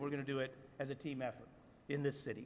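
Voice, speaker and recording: Here a man speaks with an American accent. His pace is very fast. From US South. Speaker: city commission member. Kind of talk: press conference speech. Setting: city hall rotunda press conference.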